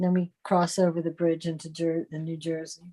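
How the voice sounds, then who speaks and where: A woman's dark, mellow tone at a moderate pace. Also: dry, close sound with no echo. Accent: American. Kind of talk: casual chat.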